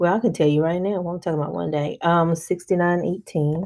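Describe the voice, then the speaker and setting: A woman has a normal speaking voice with a fairly low pitch. Her pitch variation is ordinary. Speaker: personal finance vlogger. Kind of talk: tutorial.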